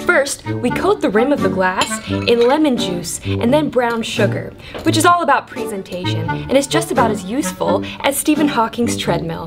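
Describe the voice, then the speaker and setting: Moderately paced female speech over clearly audible background music. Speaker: host of a drink recipe show. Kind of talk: comedic tutorial. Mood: crude, playful, joking. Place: bar.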